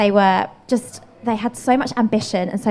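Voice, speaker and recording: A woman with a London accent. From England, Bromley (south-east London). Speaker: painter and street artist. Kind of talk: interview conversation.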